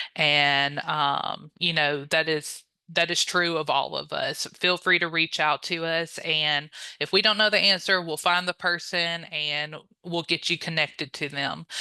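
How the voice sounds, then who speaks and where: Against a quiet background, a woman with a Louisiana accent speaks at a fairly slow pace in a bright, sharp tone. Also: fairly low pitch for a woman, fairly even intonation. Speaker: honor society staff member, chapter relations. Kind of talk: training presentation. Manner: frequent filler 'um', conversational.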